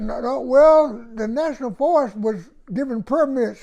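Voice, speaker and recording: A man with an American accent and lively intonation against a quiet background. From East Texas, Houston County. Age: 80s+. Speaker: oral history interviewee. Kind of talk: oral history interview. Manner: halting, repetitive.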